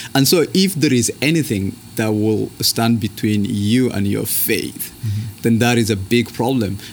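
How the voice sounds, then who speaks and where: This man speaks with a Kenyan accent. His pitch sits at a medium level and varies in an ordinary way. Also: fairly slow pace, hardly any pauses. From northern Kenya. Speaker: seminary student. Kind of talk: interview conversation.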